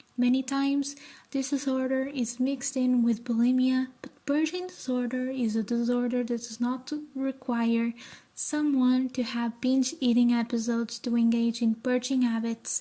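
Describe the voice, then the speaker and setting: This woman has a high-pitched voice and a Portuguese accent. She talks at a moderate pace with monotone, flat intonation. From Portugal. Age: 20s. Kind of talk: informative talk to camera.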